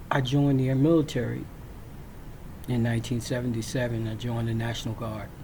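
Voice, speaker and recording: A man with an American accent talks at a fairly quick pace with long, frequent pauses. His medium-pitched intonation is monotone and flat, and there is audible room echo. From Virginia, US South. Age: 60s. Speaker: military veteran storyteller. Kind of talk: personal storytelling. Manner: halting, frequent fillers.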